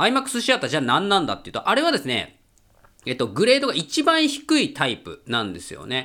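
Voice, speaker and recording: The voice is raised and projected, animated in tone, fairly quick, with very wide pitch swings and big swings in loudness. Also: man, high pitch for a man. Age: 30s. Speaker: podcast host and film reviewer. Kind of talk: casual solo monologue.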